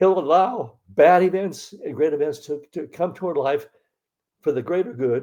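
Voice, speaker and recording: A man with an American accent speaks at a moderate pace. His dark, mellow tone sits fairly high in pitch, with ordinary pitch variation. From US Pacific Northwest, Seattle area. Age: 80s+. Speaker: convert telling his story. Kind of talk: testimony. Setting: video call. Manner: halting, many fillers and repeats.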